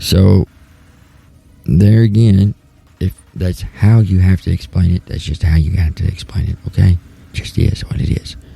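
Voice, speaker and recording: A man with a Southern US accent and a very deep, low pitch speaks with ordinary pitch variation and long, frequent pauses amid noticeable background noise. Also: moderate pace. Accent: southern US accent, twang. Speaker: talk show host. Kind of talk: casual talk show monologue.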